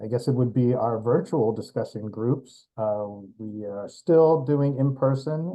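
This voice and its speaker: Medium-pitched male speech in an American accent, fairly slow, with ordinary pitch variation. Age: 60s. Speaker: discussion group organizer. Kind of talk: casual discussion. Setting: video call. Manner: hesitant, many fillers.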